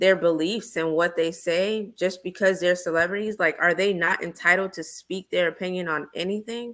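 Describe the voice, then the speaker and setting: In a very clean recording with a silent background, a normal speaking voice moves at a moderate pace with hardly any pauses and fairly even intonation. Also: woman, medium pitch for a woman. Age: 30s. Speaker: podcast co-host, guest. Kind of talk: casual group chat; podcast plug for own show.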